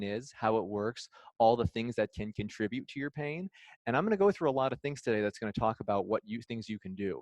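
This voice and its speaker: Someone with a Midwestern accent is heard against a quiet background, the sound dry and close with no echo. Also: man. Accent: Midwestern accent, noticeable to locals. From Illinois. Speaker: physical therapist. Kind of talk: lecture.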